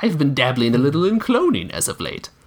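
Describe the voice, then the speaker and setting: A man's put-on character voice, growling and cackling at a very fast pace, fairly high-pitched with very wide pitch swings. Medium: read story. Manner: snarling, cackling.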